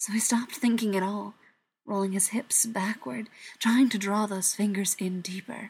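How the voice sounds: Against a quiet background, a natural reading voice keeps a fairly even intonation.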